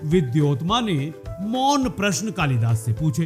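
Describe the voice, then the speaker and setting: A man's voice with very wide pitch swings over music in the background. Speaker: radio presenter. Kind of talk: radio storytelling narration.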